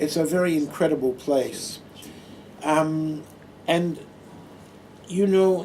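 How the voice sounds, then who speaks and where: A man's dark, mellow voice at a very slow pace, fairly even intonation, long and frequent pauses, and audible room echo. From Australia, Adelaide. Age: 60s. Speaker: retired nurse and Buddhist monk giving a talk. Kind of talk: personal talk to an audience. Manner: hesitant, with many fillers.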